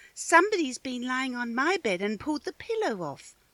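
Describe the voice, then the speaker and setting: Putting on a character voice, this female-sounding speaker talks at a fairly quick pace with a high pitch and very wide pitch swings. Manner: complaining.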